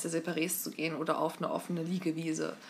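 A woman speaks with a fairly low pitch. Vocal fry runs through her voice. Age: 20s. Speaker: podcast co-host. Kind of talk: casual chat.

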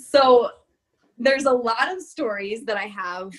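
A woman with an American accent and a plain, everyday voice, at a moderate pace with ordinary pitch variation. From Florida. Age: 20s. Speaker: college athlete. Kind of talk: casual chat.

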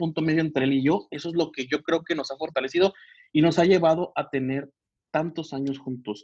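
At a fairly quick pace, a man speaks in a fairly high pitch. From Mexico, Michoacán. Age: 30s. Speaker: physician. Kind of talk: casual interview chat. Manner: halting, many fillers.

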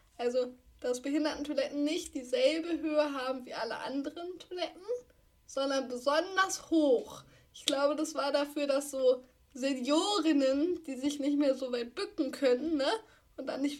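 The woman's high-pitched voice shows big swings in loudness. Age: 20s. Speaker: podcast co-host, wheelchair user and columnist. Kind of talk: casual chat. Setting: video call.

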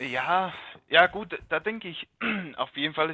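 The speaker is a man with a fairly high pitch. He talks at a moderate pace. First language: not German (speaking German). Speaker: car hobbyist, podcast listener. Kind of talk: casual chat. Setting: remote call from home.

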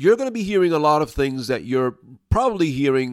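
A man with an American accent, fairly quick pace and very wide pitch swings, on a very clean recording with a silent background. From New York City, Brooklyn. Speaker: dog trainer. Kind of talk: solo podcast monologue.

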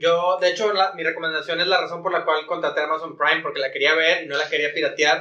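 In a Mexican accent, a man speaks very fast with a high, bright, sharp tone and fairly even intonation. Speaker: podcast host. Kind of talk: casual chat.

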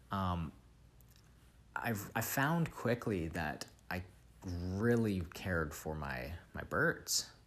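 In a Canadian accent, a man speaks very slowly with a very deep, low pitch. His intonation is lively, broken by long, frequent pauses. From Vancouver, Canada. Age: 20s. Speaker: podcast host. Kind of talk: solo monologue. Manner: halting, many repeats and fillers.

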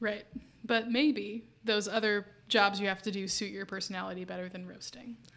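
A woman speaks at a moderate pace with a medium pitch, big swings in loudness, fairly even intonation, and a plain, everyday voice. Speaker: podcast host. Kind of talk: casual chat.

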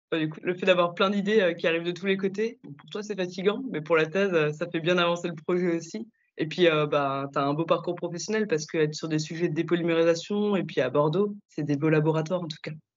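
A woman with an ordinary speaking voice talks at a fairly quick pace, with hardly any pauses. Her pitch is fairly low and her intonation fairly even. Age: young. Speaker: chemist and podcast host. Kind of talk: interview.

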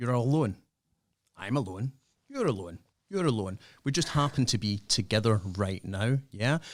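A man's medium-pitched voice at a fairly slow pace with lively intonation, on a very clean recording with a silent background. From Scotland. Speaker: youth worker and podcaster. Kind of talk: casual radio interview.

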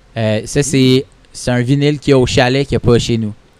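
His pitch sits in the medium range. The man's intonation is monotone and flat. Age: 30s. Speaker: comedian. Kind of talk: casual chat. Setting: record shop.

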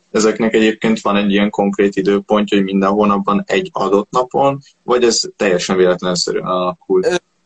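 Speaking very fast with hardly any pauses, a man keeps a very even loudness, a fairly low pitch and ordinary pitch variation. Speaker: podcast interviewer. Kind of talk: interview questions.

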